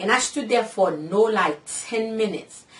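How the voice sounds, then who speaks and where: Over noticeable background noise, a woman talks in an animated tone at a moderate pace. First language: Haitian Creole / French. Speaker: vlogger, cosmetology student. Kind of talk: casual vlog storytelling.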